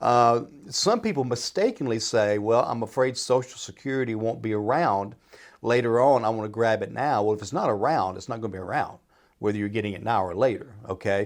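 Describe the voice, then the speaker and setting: A man talks at a fairly quick pace in an unremarkable speaking voice. His medium pitch shows ordinary variation, over a quiet background. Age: 60s. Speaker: financial adviser and retirement planner. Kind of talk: radio Q&A advice talk. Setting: radio studio.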